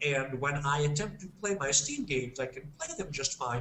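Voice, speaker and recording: A man with an American accent speaks in an ordinary speaking voice, his fairly high pitch carried by lively intonation. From United States. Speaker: games industry guest expert. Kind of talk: podcast discussion.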